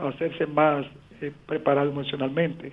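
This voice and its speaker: A man speaks at a moderate pace. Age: 70s. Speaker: caller, blind older listener. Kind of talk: call-in question.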